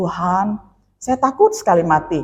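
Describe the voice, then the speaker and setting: A woman at a medium pitch and a moderate pace. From Indonesia, West Kalimantan. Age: 50s. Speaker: pastor. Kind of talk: sermon with personal testimony. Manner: conversational, with fillers.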